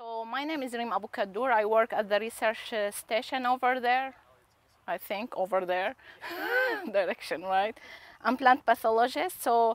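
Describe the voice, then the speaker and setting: The woman talks at a moderate pace with ordinary pitch variation, and the sound is dry with no echo. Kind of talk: field day presentation to farmers. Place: open country. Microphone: lapel.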